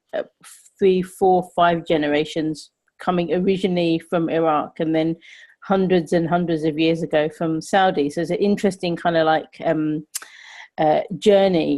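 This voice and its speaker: In a London accent, the speaker uses a dark, mellow tone and monotone, flat intonation at a moderate pace against a quiet background. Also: woman. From London, England. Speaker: podcast host. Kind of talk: casual chat.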